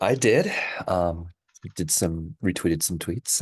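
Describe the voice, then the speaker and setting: A man speaks softly in a very deep, low voice at a fairly slow pace. The sound is dry and close with no echo, and the background is quiet. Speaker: podcast host. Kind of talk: casual chat. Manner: soft-spoken.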